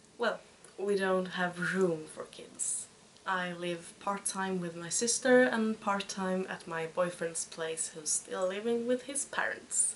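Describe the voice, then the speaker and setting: A woman at medium pitch, very slow pace, ordinary pitch variation and big swings in loudness, over noticeable background noise. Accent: Swedish. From Sweden. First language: Swedish. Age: 20s. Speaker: podcast host, knitter and student. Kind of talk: casual podcast monologue. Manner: halting.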